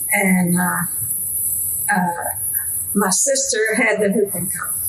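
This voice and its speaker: A woman talks with a Southern US accent. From Arkansas, US South. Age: 80s+. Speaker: grandmother interviewee. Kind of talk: oral history interview. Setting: at home.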